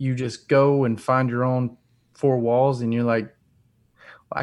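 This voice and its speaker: Against a quiet background, a man with a medium-pitched voice speaks at a fairly slow pace in a monotone, flat intonation, with long, frequent pauses. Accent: Southern US. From US South, North Alabama. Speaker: rock musician. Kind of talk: casual chat.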